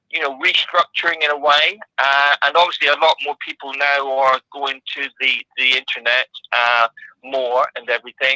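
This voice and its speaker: A man's fairly high voice, bright and sharp in tone, with fairly even intonation at a moderate pace, the sound dry and close with no echo. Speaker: psychic artist. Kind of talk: casual interview. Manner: halting.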